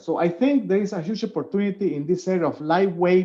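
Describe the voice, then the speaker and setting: A man with a Spanish accent, a high pitch, a dark, mellow tone and a moderate pace. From Venezuela. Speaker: professor. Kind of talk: webinar Q&A. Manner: hesitant, with fillers.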